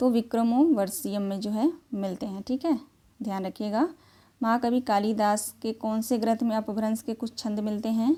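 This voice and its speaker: A woman's voice sits at a fairly high pitch. It sounds somewhat breathy. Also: ordinary pitch variation. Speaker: Hindi teacher. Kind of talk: online lecture. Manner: repetitive, explanatory teaching.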